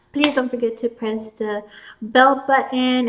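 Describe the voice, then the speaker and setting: Noticeable background noise sits under a woman speaking at a moderate pace in a flat monotone. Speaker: tarot card reader. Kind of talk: tarot reading outro to camera.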